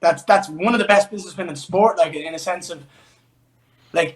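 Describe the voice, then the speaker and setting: A man talks at a very fast pace with a high pitch and ordinary pitch variation. His loudness swings widely. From Ireland, Dublin. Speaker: MMA fighter. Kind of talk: interview.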